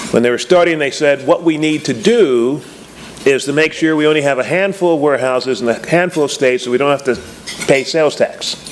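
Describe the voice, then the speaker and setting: A man with an American accent, fairly high-pitched, at a fairly quick pace with ordinary pitch variation, over noticeable background noise. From Texas. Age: 70s. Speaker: business school lecturer. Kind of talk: keynote speech. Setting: luncheon stage with audience. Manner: animated.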